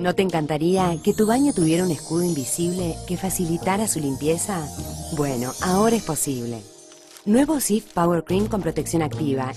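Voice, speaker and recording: Music plays in the background. A woman speaks in a Rioplatense accent with a fairly low pitch. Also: moderate pace. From Argentina. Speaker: voice actor. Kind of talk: TV commercial read.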